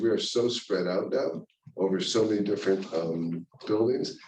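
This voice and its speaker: A mumbling man with an American accent, fairly low pitch, moderate pace, fairly even intonation and audible room echo. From US Midwest, Cleveland Ohio. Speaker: orthopedic surgeon. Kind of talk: lecture.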